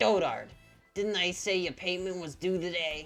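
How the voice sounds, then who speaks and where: A put-on character voice at a middle pitch, spoken at a moderate pace. Faint music plays in the background. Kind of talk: rustic, rough. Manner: aggressive, demanding.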